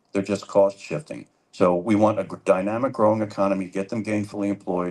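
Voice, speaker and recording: Over a quiet background, a man with a plain, everyday voice and a fairly low pitch talks at a fairly quick pace. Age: 60s. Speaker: political candidate. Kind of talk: town hall debate answer. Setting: public library town hall with audience.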